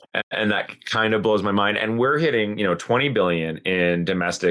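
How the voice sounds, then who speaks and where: With a Canadian accent, a man with an unremarkable speaking voice talks fairly quickly at a fairly low pitch with ordinary pitch variation. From Canada. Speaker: podcast co-host on sustainability. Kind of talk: casual conversational podcast discussion.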